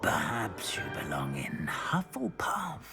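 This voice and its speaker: A whispered, put-on character voice at a fairly slow pace, faint music in the background. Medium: machinima. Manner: slow, musing, with many hums.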